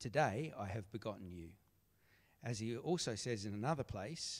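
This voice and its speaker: A man with an Australian accent, fairly low in pitch, at a moderate pace and with lively intonation. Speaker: scripture reader. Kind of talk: reading aloud. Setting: church.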